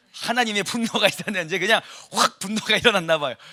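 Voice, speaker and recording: This man uses a raised, projected voice, high-pitched with a bright, sharp tone, animated and full of lively intonation, recorded dry and close with no echo. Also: very clean recording, silent background. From South Korea, Gyeongsang (Ulsan). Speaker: pastor. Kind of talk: sermon. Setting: church service.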